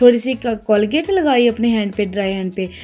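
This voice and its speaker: With noticeable background noise behind her, a woman talks at a moderate pace in a fairly high voice. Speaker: mom vlogger. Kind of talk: casual vlog narration.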